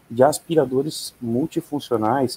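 A man speaks in a dark, mellow tone with fairly even intonation. The sound is dry and close, with no echo. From Rio Grande do Sul, Brazil. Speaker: security specialist. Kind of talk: casual interview.

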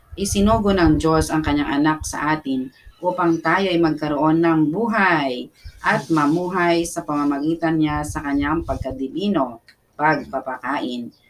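Fairly slow speech from a woman, very deep and low in pitch. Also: ordinary pitch variation. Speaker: prayer leader. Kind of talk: fervent prayer, pray-reading scripture. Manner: animated, impassioned, punctuated by repeated "Amen" and calls to the Lord.

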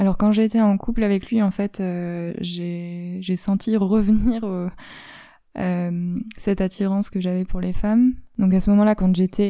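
A woman speaks at a medium pitch in a monotone, flat intonation. Her pace is fairly slow. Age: 20s. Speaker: performing arts worker sharing coming-out story. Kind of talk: testimony interview.

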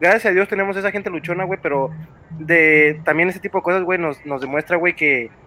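A man talks at a fairly quick pace in a high voice. Noticeable noise sits in the background. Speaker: podcast panel member. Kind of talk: casual chat.

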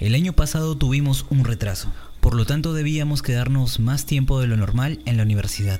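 A man talks fairly quickly at a medium pitch. His pitch varies in an ordinary way while music plays in the background. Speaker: podcast host and video editor. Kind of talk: casual podcast chat. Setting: virtual call with live audience.

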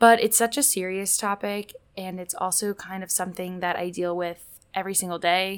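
A woman with an American accent speaks in a plain, everyday voice at medium pitch and a moderate pace, with hardly any pauses and fairly even intonation. Her loudness swings widely, and the recording is very clean with a silent background. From Indianapolis, US Midwest. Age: 20s. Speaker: podcast host and college student. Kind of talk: casual solo podcast monologue.

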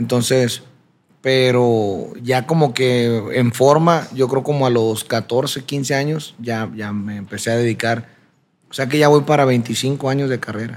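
A man speaks at a very slow pace, his medium-pitched voice carrying fairly even intonation. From Sinaloa, Mexico (Culiacán area). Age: 30s. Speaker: singer. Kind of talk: interview.

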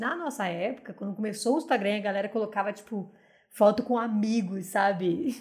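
At a fairly quick pace, a woman speaks in an animated tone. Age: 20s. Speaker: podcast co-host. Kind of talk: casual chat. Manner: animated, frequent laughter.

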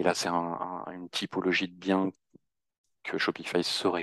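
A man talks at a fairly quick pace in a very deep, low pitch with monotone, flat intonation. The sound is dry and close with no echo, over a quiet background. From Normandy, France. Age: 40s. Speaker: web agency founder. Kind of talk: interview.

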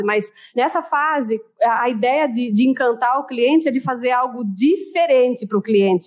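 Her pitch is high and her tone animated, while this woman's pitch variation stays ordinary. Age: 30s. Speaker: customer service trainer. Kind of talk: interview.

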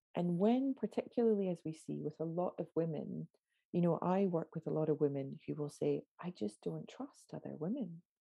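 A woman with an unremarkable speaking voice talks at a moderate pace. Her pitch is fairly low, and her intonation is lively. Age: 40s. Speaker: somatic prosperity coach. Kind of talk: interview conversation.

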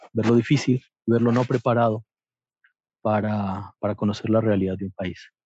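Dry and close with no echo, a man's medium-pitched voice has a dark, mellow tone. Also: long, frequent pauses. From Colombia, Antioquia (paisa). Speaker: photographer and hotel worker. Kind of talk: interview.

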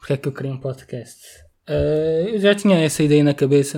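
In a very clean recording with a silent background, a man with a slight Setúbal accent speaks at a moderate pace in a fairly high pitch, his tone dark and mellow. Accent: mild Setúbal. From Setúbal, Portugal. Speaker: podcast co-host, biology student. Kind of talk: casual chat. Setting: home recording in bedroom.

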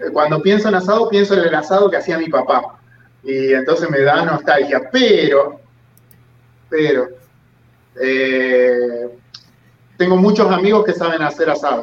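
Speaking with an Argentine accent, a man talks at a very slow pace with ordinary pitch variation. Long pauses come often. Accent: Argentine Spanish (rioplatense voseo). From Argentina, Santa Fe province. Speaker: YouTuber. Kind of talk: casual interview chat.

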